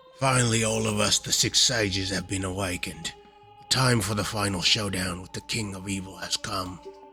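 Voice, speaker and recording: In a put-on character voice, a man talks at a fairly quick pace with a very deep, low pitch and a raspy edge. Clear music plays in the background. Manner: silly, mock-dramatic.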